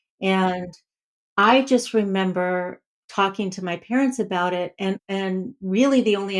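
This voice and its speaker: Speaking at a fairly slow pace, a woman with medium pitch and a normal speaking voice is heard on a very clean recording with a silent background. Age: 60s. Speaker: clinical psychologist. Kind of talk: podcast interview.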